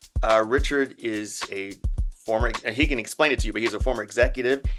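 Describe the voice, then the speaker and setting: A man is speaking. Music plays in the background. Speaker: podcast host. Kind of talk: casual podcast interview.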